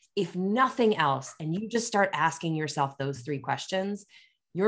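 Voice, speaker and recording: The speaker has an American accent and talks at a moderate pace. The background is quiet. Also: woman. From Pennsylvania. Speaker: sales executive. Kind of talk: casual interview.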